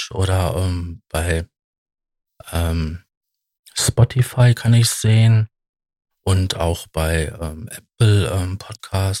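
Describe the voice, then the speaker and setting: A man with a very deep, low pitch and ordinary pitch variation sounds somewhat breathy, recorded dry and close with no echo. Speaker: podcast host. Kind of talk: solo monologue. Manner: hesitant, many filler sounds.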